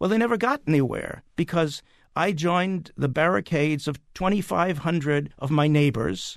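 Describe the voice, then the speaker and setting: In a quiet background, a man with a plain, everyday voice talks at a fairly high pitch with ordinary pitch variation. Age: 60s. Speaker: playwright. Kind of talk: casual chat.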